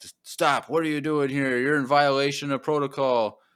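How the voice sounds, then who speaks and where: A man puts on a robotic character voice, loud and fairly high, in a flat monotone. He goes at a moderate pace over a very clean, silent background. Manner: loud, menacing.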